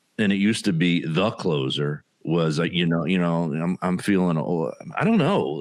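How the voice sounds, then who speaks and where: This is a man speaking. He has a South Jersey accent. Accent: South Jersey accent, noticeable. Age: 50s. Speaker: stand-up comedian. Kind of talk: casual podcast chat.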